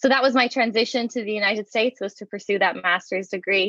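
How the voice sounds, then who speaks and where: A woman with an Irish accent speaks at a fairly quick pace in a bright, sharp tone with ordinary pitch variation, against a quiet background. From Ireland, Waterford (southeast). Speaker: education researcher, professor. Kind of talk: interview. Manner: conversational with fillers.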